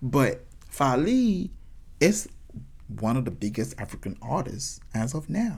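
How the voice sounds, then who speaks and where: This man speaks at a medium pitch with vocal fry and a fairly slow pace, leaving long, frequent pauses. His pitch swings very widely. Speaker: podcast host and singer. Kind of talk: casual solo talk. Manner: halting with repeated words.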